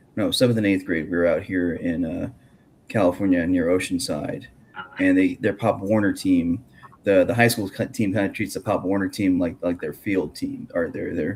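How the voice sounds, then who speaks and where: Amid noticeable background noise, a man mumbles at a moderate pace. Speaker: podcast host and grappling commentator. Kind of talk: casual chat. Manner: mumbling; halting.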